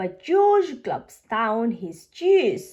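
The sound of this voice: A woman speaks at a very slow pace with a fairly high pitch. Her slightly mellow tone rides big pitch swings.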